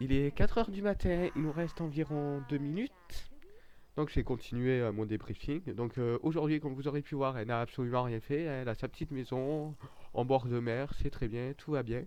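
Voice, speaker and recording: A man with a strong southern French accent speaks in a sing-song way at a moderate pace, with a fairly high pitch and ordinary pitch variation. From southern France, Nîmes area. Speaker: gaming YouTuber. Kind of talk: let's play gameplay commentary. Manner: sing-song intonation; hesitant, many fillers.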